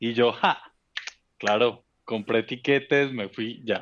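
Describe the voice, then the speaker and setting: A man's speech, with ordinary pitch variation, unfolds very slowly. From Colombia, Bogotá. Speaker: office worker. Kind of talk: casual chat.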